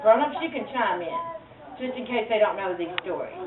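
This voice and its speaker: An animated speaker with a Southern US accent uses very wide pitch swings. Audible room echo and noticeable background noise come through. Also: woman. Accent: country Southern. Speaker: storyteller. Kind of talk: live storytelling to children.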